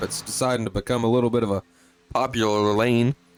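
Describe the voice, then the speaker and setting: A man at a medium pitch talks at a fairly quick pace while music plays in the background. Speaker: sim racing commentator. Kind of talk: live commentary. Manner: animated.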